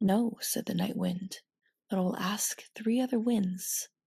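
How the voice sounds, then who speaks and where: Soft-spoken and somewhat breathy, a woman talks at medium pitch in a dark, mellow, soothing tone with fairly even intonation, captured dry and close with no echo. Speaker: ASMR storyteller and host. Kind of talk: ASMR bedtime story reading. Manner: soft-spoken, soothing.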